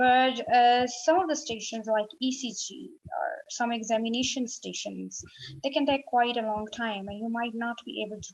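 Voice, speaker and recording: A woman speaks at a moderate pace in an unremarkable speaking voice. Her pitch is fairly high and varies in an ordinary way. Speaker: medical exam tutor. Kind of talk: tutorial.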